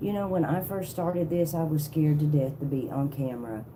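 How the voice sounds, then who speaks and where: A woman's very deep, low voice with a dark, mellow tone, somewhat breathy, in a Southern accent, with ordinary pitch variation and audible room echo. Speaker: tarot reader livestreamer. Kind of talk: casual livestream chat. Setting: live video stream.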